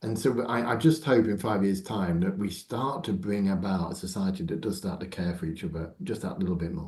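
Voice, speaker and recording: A man's fairly low, dark, mellow voice, somewhat breathy, at a fairly quick pace with lively intonation. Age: 60s. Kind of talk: interview.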